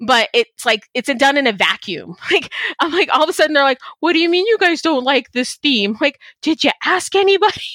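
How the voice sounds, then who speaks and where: With an American accent, a woman projects a raised voice in a bright, sharp tone, her pitch swinging very widely at a moderate pace in a dry, close recording with no echo. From Texas. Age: 40s. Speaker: podcast host. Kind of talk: casual interview chat. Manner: animated.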